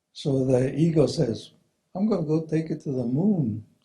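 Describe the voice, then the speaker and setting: Somewhat breathy, dark and mellow in tone, a man's voice with ordinary pitch variation. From New Mexico, Zuni Pueblo. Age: 70s. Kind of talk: talk to an audience.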